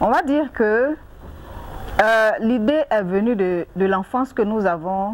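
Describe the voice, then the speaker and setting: Speaking at a very slow pace with an Ivorian accent, a woman uses lively intonation and a fairly high pitch over noticeable background noise. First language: Anyi (speaking French). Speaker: NGO president and agricultural entrepreneur. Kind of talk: interview.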